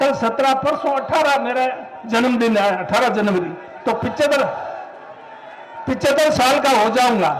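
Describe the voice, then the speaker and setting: An extremely high-pitched male voice keeps its loudness very even, with long, frequent pauses. The recording has audible room echo and noticeable background noise. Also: ordinary pitch variation. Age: 70s. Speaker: veteran politician. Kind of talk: political rally speech.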